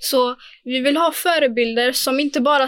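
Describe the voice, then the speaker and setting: A woman with a high pitch and fairly even intonation is heard on a very clean recording with a silent background. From Sweden, Angered, Gothenburg. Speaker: former youth council chair. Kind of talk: casual chat.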